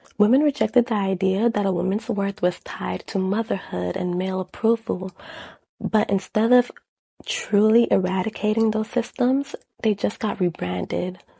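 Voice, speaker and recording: Somewhat breathy and dark, mellow in tone, a woman speaks at a medium pitch and a moderate pace. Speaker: video essayist on love and feminism. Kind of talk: video essay commentary.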